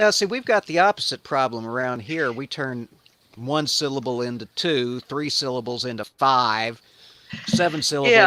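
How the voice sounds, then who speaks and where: This man has a slight Southern accent and a medium pitch. His tone is bright and sharp, with lively intonation. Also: moderate pace. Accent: light Southern. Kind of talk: well spoken.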